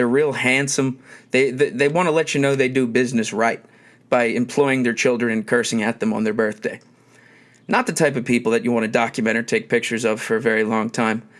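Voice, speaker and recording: Here a man speaks with a Philadelphia accent. His pitch is medium and his pace fairly quick. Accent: Philadelphia accent, noticeable. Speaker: podcast host. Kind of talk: casual monologue. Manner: hesitant, many filler words.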